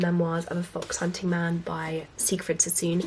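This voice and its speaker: Noticeable background noise beneath a woman speaking at a fairly low pitch. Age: 20s. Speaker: book vlogger. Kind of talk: book recommendations vlog.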